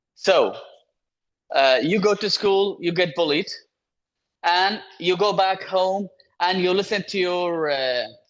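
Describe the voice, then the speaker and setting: Using a Kurdish accent, a high-pitched man speaks at a very slow pace with ordinary pitch variation and long, frequent pauses. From Iraq (Yazidi, Kurdish-speaking, raised in Baghdad). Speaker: human rights organization founder. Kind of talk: webinar talk. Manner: halting, with repetitions and fillers.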